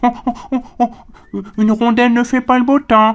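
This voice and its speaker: A cartoonish character voice, female-sounding and fairly high in pitch, moves at a moderate pace. Its intonation stays monotone and flat. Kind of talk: children's educational puppet show. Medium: puppet.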